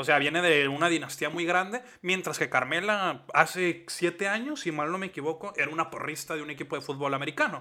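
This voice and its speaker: A man with a high pitch and a bright, sharp tone talks with hardly any pauses. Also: ordinary pitch variation, fairly quick pace. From Mexico. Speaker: wrestling podcast co-host. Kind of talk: casual chat.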